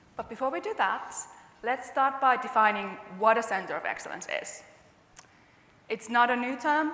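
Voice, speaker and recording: A woman with a Finnish accent and a high pitch, ordinary pitch variation, a moderate pace, long, frequent pauses and big swings in loudness, with noticeable background noise and audible room echo. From Finland. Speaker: customer success manager. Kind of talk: conference presentation.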